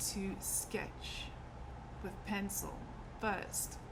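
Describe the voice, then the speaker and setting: Heard over noticeable background noise with audible room echo, the speech moves at a very slow pace. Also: woman. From South Africa. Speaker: artist and fabric designer. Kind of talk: casual personal introduction vlog. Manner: conversational with frequent fillers.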